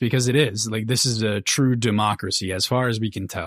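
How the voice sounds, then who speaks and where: The speaker talks at a moderate pace with fairly even intonation, in a strong Minnesota accent. The recording is very clean, with a silent background. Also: man. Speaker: book podcast co-host. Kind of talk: casual chat.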